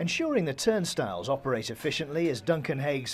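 Lively intonation in a man's somewhat breathy delivery. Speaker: sports reporter. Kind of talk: TV news feature narration.

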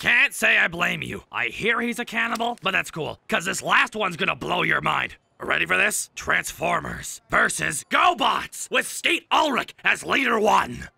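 A man's raspy, high-pitched put-on character voice. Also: moderate pace. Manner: brash, goofy.

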